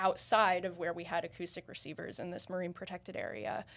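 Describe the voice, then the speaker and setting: In a plain, everyday voice with an American accent, the speaker keeps a moderate pace on a very clean recording with a silent background. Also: woman. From US Northeast. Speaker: marine biologist. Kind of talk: interview. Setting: in-person studio interview.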